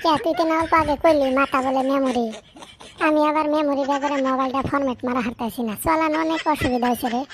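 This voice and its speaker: A woman uses a cartoonish character voice, pitched high with ordinary variation. She moves along at a fairly quick pace. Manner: rambling, naive.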